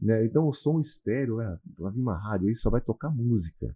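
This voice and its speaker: With very wide pitch swings, a man talks at a moderate pace in a somewhat breathy voice. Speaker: radio broadcaster, announcer and consultant, also lawyer and real estate broker. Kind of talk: podcast interview answer, casual conversation.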